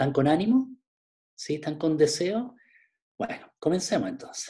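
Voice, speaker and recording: This man's voice sits high in pitch, with a dark, mellow tone. He moves at a moderate pace with lively intonation. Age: 50s. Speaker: pastor. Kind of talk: online Bible class.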